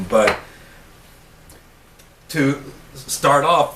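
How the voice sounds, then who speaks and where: A man's medium-pitched voice comes through alongside noticeable background noise. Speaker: wood carver. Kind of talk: casual talk to camera. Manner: stuttering, disfluent.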